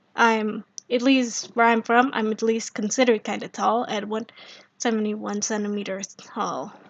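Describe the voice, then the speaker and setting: A woman with an Indonesian accent, fairly high-pitched, at a moderate pace and with fairly even intonation. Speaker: streamer. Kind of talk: casual live stream chat. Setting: live stream.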